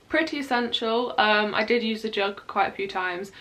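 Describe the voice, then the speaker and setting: A woman with a British accent talks very fast with ordinary pitch variation, with noticeable background noise and audible room echo. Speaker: university student YouTuber. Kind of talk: casual vlog reaction. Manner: rambling, chatty with fillers.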